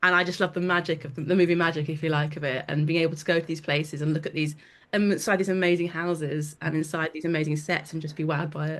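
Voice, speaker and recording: A woman with a London accent, very deep and low in pitch, very fast and monotone with flat intonation. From London, England. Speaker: hair and makeup artist. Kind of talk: casual chat. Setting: video call.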